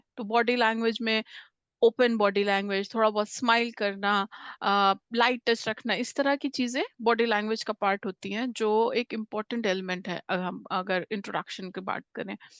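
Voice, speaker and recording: In a quiet background, a woman talks with fairly even intonation in a dry, close sound with no echo. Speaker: communication skills trainer. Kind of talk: interview-style workshop talk. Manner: frequent hesitations, Hindi-English mixing.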